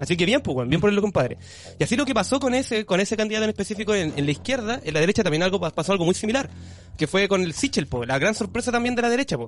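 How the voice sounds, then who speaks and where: Very fast and in a Chilean accent, a man speaks at a high pitch with very wide pitch swings. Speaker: podcast co-host. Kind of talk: casual chat. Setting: live stream.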